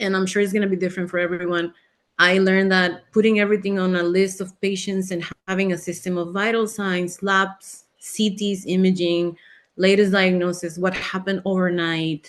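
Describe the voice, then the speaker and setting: A woman of medium pitch speaks at a moderate pace in a monotone, flat intonation against a quiet background. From Mexico. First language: Spanish. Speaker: physician. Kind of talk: webinar interview.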